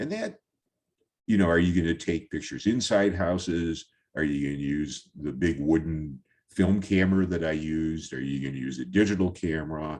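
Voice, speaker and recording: This man's pitch is very deep and low. He talks at a moderate pace, with ordinary pitch variation. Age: 70s. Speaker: photographer. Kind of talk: presentation talk over slides. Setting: virtual talk. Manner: halting, many fillers.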